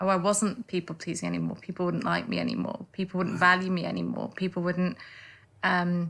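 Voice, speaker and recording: A woman's bright, sharp tone carries a slight northern English accent. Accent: slight northern English twang. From northern England. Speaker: lawyer turned life coach. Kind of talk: interview. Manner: halting, many repeated words.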